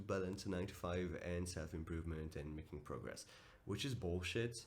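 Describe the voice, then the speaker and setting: Audible room echo surrounds a man with a very deep, low pitch. He speaks at a moderate pace with fairly even intonation. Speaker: self-improvement vlogger and coach. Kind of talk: motivational vlog monologue. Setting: at home early morning. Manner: casual, direct.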